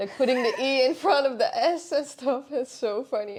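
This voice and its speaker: High pitch from a woman, with ordinary variation in pitch. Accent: Dutch. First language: Dutch. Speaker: podcast co-host. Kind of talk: casual chat.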